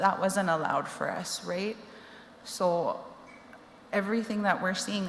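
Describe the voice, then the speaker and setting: Amid noticeable background noise, a woman with a Canadian accent speaks at a moderate pace with fairly even intonation. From Cree reserve, Alberta (Treaty Six territory). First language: Cree. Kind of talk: personal testimony. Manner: conversational, many fillers.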